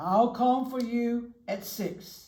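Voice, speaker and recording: The speaker uses a put-on character voice pitched fairly high. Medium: read story. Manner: sly.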